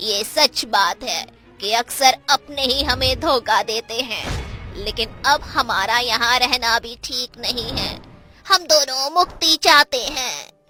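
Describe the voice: A female-sounding cartoonish character voice with a high pitch speaks at a fairly slow pace over faint music in the background.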